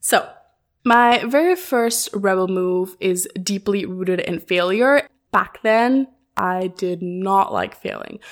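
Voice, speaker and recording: A woman speaks at a very slow pace. Her fairly high voice has lively intonation. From mostly raised outside Germany, half German. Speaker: podcast host and marketing consultant. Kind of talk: personal storytelling monologue.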